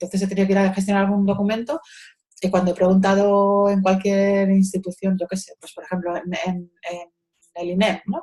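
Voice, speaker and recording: Over music in the background, the speech runs at a fairly quick pace, monotone and flat but with big swings in loudness. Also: woman, medium pitch for a woman. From Spain, Madrid. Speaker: social educator. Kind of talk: interview. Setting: video call. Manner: halting.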